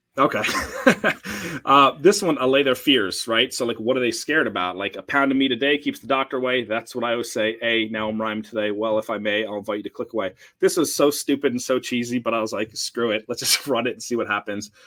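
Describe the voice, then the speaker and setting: A man with an American accent, his tone bright and sharp, at a very fast pace. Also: medium pitch for a man, ordinary pitch variation. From New Jersey, US. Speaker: email marketing agency founder. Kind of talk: webinar presentation. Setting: live stream. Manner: animated.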